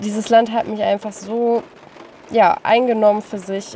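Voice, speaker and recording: A woman's fairly high voice proceeds at a moderate pace, accompanied by noticeable background noise. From northern Germany, Lüneburg Heath. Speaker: travel podcaster. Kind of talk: personal monologue.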